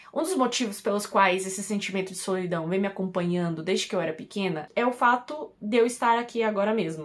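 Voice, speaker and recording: With hardly any pauses, a woman talks at a very fast pace and medium pitch, her intonation lively, against noticeable background noise. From Brazil (Piauí, Brasília). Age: 20s. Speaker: YouTuber. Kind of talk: casual vlog monologue.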